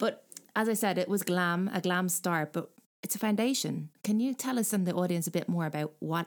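In a plain, everyday voice, a woman talks at a fairly quick pace and a fairly low pitch, with ordinary pitch variation. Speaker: podcast co-host. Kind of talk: podcast interview.

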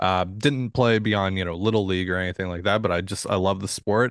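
A man with a normal speaking voice and a fairly low pitch talks at a fairly quick pace. His intonation is fairly even, and the background is quiet. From Washington State, US. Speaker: sports podcast host. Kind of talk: casual chat.

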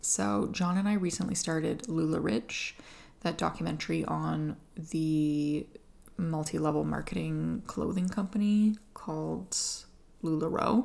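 A woman with an Atlantic Canadian accent, talking at a fairly slow pace. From Atlantic Canada. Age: 30s. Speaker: podcast host. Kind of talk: casual solo podcast chat. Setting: at home.

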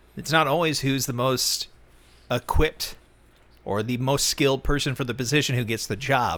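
At medium pitch and a moderate pace, a man with an American accent and a normal speaking voice keeps his intonation fairly even. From Texas. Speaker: football podcast host. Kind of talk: casual chat.

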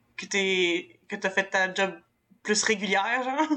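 A woman with a Quebec accent speaks at a medium pitch. Her tone is bright and sharp, with ordinary pitch variation. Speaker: podcast co-host.

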